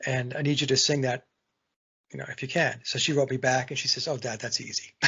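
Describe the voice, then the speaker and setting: A man talks at a fairly quick pace with vocal fry. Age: 60s. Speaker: songwriter and guitarist. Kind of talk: casual chat. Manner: halting.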